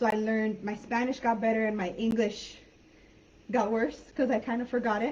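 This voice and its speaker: Fairly high in pitch and somewhat breathy, a woman with an American accent talks at a moderate pace in a monotone, flat intonation. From San Diego-Tijuana border, US/Mexico. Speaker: online English teacher. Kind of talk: live online class chat. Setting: live video call.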